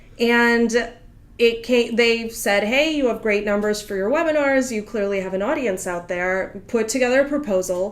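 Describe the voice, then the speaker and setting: There is audible room echo as a woman with a fairly high pitch talks at a moderate pace with ordinary pitch variation. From Russia, Moscow. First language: Russian. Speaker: literary agent. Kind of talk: interview.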